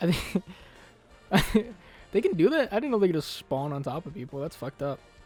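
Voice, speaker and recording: A man with a high voice, lively intonation and big swings in loudness at a fairly quick pace, with music in the background. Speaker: gaming youtuber. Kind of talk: casual gameplay commentary. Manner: halting, repeats words.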